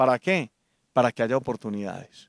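In a plain, everyday voice, a man speaks at a moderate pace and medium pitch, the sound dry with no echo and the background quiet. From Colombia, Antioquia (Medellín). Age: 40s. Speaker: political candidate and businessman; candidate. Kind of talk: political interview. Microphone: handheld.

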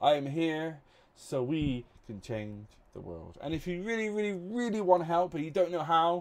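A man's fairly high-pitched voice with lively intonation at a moderate pace. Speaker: YouTuber counting to a million. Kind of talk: enthusiastic scripted channel intro to camera. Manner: animated, laughing often; mumbling. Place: home room. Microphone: studio mic.

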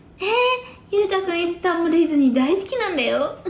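A woman's voice with audible room echo. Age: 40s. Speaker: live streamer. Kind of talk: casual livestream chat with viewers. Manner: animated, frequent laughter. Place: home room. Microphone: phone near.

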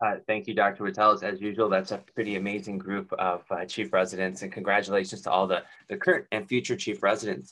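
A man talks at a very fast pace with hardly any pauses, his fairly low voice bright and sharp in tone. His intonation stays monotone and flat. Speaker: grand rounds moderator. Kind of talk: meeting moderation. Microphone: video call.

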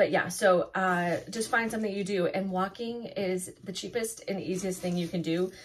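A somewhat breathy woman's voice at a medium pitch and a moderate pace. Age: 50s. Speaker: food and weight-loss vlogger. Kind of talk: casual vlog talk to camera. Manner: casual with many fillers.

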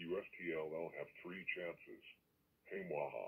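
Putting on a character voice, a man talks at a fairly slow pace. His pitch is very deep and low. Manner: menacing, threatening.

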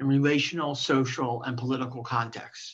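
A woman speaks with a very deep, low pitch. Her pace is moderate and her pitch varies in an ordinary way. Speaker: guest, professor. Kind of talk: lecture. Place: home room. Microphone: video call.

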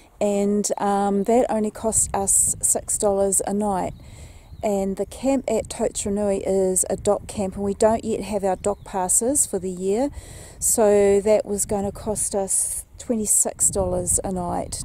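A woman speaks very slowly in a dark, mellow tone with monotone, flat intonation. The sound is dry with no echo, over light background noise. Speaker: travel vlogger. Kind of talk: casual vlog chat. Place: waterside. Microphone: phone near.

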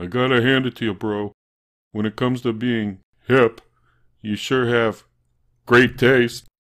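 Putting on a character voice, a man speaks at medium pitch with long, frequent pauses. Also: moderate pace. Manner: laid-back, punning.

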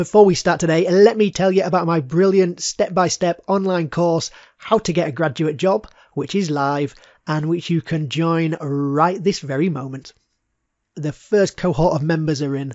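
A man's high pitch with ordinary pitch variation, at a moderate pace. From Birmingham, England. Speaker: podcast host, career coach. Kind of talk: scripted promo; interview.

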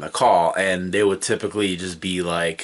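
At a moderate pace, a man is talking. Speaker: video host. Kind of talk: casual vlog chat. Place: home room.

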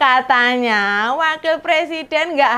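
This is a woman's voice. Her pitch is high. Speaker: comedic political commentary host. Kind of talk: satirical commentary. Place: studio. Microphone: lapel.

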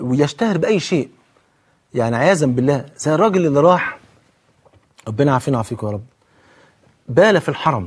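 Against a quiet background, a man with a fairly high pitch speaks at a moderate pace in an animated tone. His pitch swings very widely, and he takes long, frequent pauses. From Egypt. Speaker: Islamic preacher and TV host; religious preacher on TV. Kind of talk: televised religious talk. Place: studio. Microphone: lapel.

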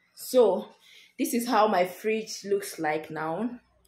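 A woman talks at a slow pace with ordinary pitch variation and a slightly mellow tone, with audible room echo around her. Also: medium pitch for a woman.

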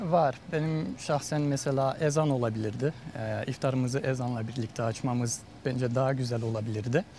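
Light background noise sits beneath a man speaking at a moderate pace with ordinary pitch variation in a dry sound with no echo. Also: medium pitch for a man. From France. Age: 20s. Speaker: pharmacist; interviewee. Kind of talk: interview. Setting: outdoors. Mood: warm, calm, smiling. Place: garden. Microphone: lapel.

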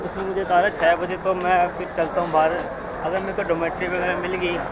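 A man at a moderate pace, a dry sound with no echo, and loud background noise. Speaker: travel vlogger. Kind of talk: casual vlog chat. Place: station. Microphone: phone near.

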